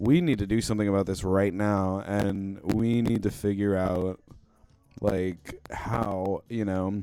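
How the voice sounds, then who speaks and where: Speaking at a fairly slow pace, a man uses a fairly low pitch and a monotone, flat intonation. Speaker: music producer and livestreamer. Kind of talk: casual livestream chat. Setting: livestream.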